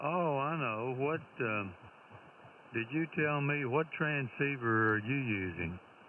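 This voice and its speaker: Speaking very slowly, a man keeps a medium pitch and very even loudness while his intonation stays lively. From Tennessee. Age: 80s. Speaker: retired amateur radio operator. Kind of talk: casual chat over radio contact.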